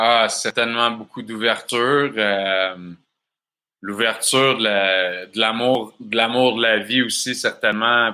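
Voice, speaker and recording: The voice has a bright, sharp tone and moves at a very slow pace on a very clean recording with a silent background. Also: man. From Quebec, Bas-Saint-Laurent. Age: 30s. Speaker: festival organizer. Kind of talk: interview.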